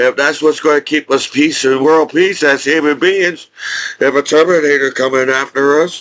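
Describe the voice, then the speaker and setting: Here is a man with an unremarkable speaking voice, fairly high in pitch, at a moderate pace. His loudness stays very even and his intonation fairly even. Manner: rambling, casual.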